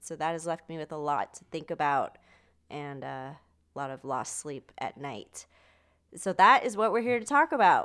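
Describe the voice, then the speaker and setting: A woman's fairly low voice at a moderate pace, with very wide pitch swings and big swings in loudness, on a very clean recording with a silent background. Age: 20s. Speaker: podcast co-host. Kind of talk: casual chat.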